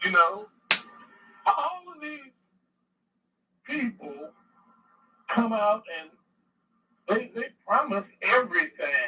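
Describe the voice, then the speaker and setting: An extremely high-pitched male voice, raised and projected, with a bright, sharp tone, very wide pitch swings, big swings in loudness, a very slow pace and long, frequent pauses. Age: 60s. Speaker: caller. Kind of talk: call-in. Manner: halting.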